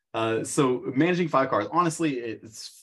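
This man has a plain, everyday voice at a medium pitch, speaking in an American accent at a fairly slow pace with lively intonation. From US Midwest, small-town southern Illinois. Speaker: high school business teacher and car rental host. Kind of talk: casual interview chat.

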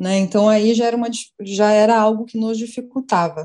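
A woman's dark, mellow tone at a fairly high pitch, with fairly even intonation. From Brazil, São Paulo. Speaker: journalist, beer communication specialist. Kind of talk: casual panel interview.

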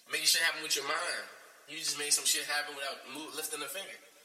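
The speech comes at a very fast pace. Noticeable background noise and audible room echo are present. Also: man. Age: 20s. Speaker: podcast host. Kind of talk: casual chat. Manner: animated.

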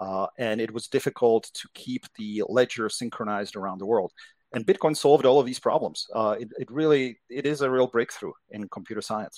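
A man in a Czech accent at medium pitch, with ordinary pitch variation and a dry, close sound with no echo. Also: fairly quick pace, big swings in loudness. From Czechoslovakia. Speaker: crypto investment executive. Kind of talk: interview.

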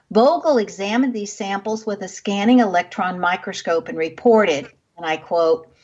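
This woman has an unremarkable speaking voice, medium pitch, ordinary pitch variation and a moderate pace. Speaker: radio show host. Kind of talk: radio host patter, interview intro and sign-off. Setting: radio studio. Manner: polished, warm, measured.

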